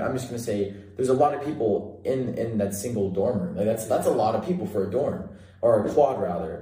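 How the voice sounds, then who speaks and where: Very fast talk comes from a man at a medium pitch with lively intonation. Noticeable background noise is present. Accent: American. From Central California. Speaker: college student podcast host. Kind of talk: casual chat.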